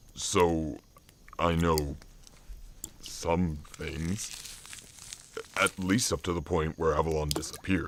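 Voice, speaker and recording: This is a put-on character voice at a fairly slow pace. Long pauses come often. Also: man, very deep, low pitch for a man. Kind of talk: audio drama. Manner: panicked, stammering.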